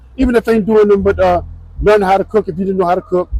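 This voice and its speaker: High-pitched male voice with a New Orleans accent, music in the background. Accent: New Orleans US Southern. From New Orleans, Louisiana, US South. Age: 70s. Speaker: retired law enforcement officer. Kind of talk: interview. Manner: halting.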